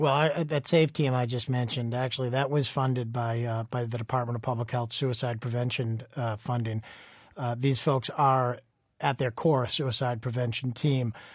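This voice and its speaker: A man at medium pitch, somewhat breathy, with fairly even intonation and a moderate pace, in a very clean recording with a silent background. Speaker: state veterans official. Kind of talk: radio interview.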